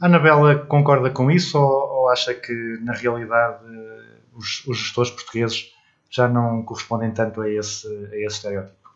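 Using an ordinary speaking voice, a man talks at a moderate pace with medium pitch and ordinary pitch variation. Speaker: radio podcast host. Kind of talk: interview.

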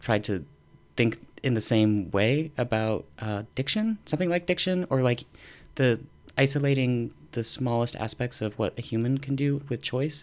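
A man with an American accent and a normal speaking voice talks at a moderate pace with a medium pitch and ordinary pitch variation, in a very clean recording with a silent background. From northern Utah. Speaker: professor. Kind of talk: casual chat.

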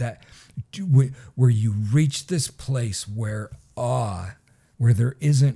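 A man's dark, mellow, somewhat breathy voice with an American accent, fairly slow, with ordinary pitch variation. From Michigan. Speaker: pastor. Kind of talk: casual interview.

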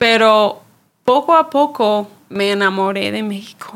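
A woman talks with an English accent. Her pitch varies in an ordinary way. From Chicago, US. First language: English (speaking Spanish). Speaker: church ministry worker. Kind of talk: casual chat.

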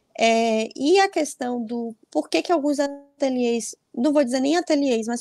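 Recorded dry and close with no echo, a woman speaks fairly slowly in a high pitch, her tone dark and mellow and her pitch varying in an ordinary way. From Bahia, Brazil. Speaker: fashion designer and atelier owner. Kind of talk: interview.

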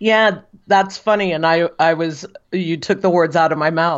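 Speaking at a moderate pace in an American accent, this is a normal speaking voice with ordinary pitch variation. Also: woman. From United States. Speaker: football writer. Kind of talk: casual chat.

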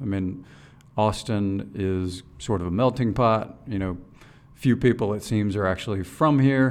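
A man with a fairly low voice, ordinary pitch variation and a moderate pace. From moved around the US as a military child, mostly East Coast. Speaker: bank executive. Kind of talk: interview. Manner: hesitant with frequent repeated words.

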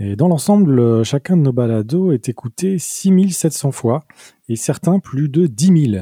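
A dark, mellow, somewhat breathy voice moves at a fairly slow pace in a very clean recording with a silent background and a dry, close sound with no echo. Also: man. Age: 40s. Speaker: podcast co-host and sound engineer. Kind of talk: casual chat.

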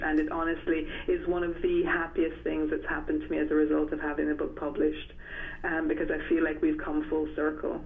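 The pace is fairly quick. Noticeable background noise runs throughout. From Jamaica-born, grew up in England. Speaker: novelist. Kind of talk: interview. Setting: phone call. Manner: hesitant, many fillers.

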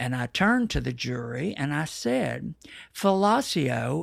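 Speaking at a fairly slow pace with an American accent, a man uses very wide pitch swings in a very clean recording with a silent background. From Texas. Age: 70s. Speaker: artist and adventurer. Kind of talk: casual interview chat. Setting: home.

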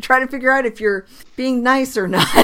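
There is noticeable background noise throughout. Over it, a woman talks. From Rhode Island, Portsmouth. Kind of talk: casual chat.

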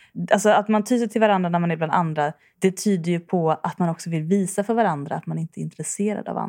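A woman talks at a very fast pace with hardly any pauses, her fairly low pitch moving with ordinary variation. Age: 30s. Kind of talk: casual chat.

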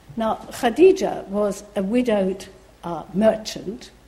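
Over noticeable background noise and audible room echo, a woman speaks at a fairly slow pace. Her fairly high voice has lively intonation. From Iran. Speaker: professor. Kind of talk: lecture.

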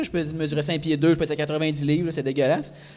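A man with a Quebec accent, his pitch fairly high and his pace fairly quick. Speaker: comedian. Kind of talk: live podcast talk before audience. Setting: stage with audience in a microbrewery.

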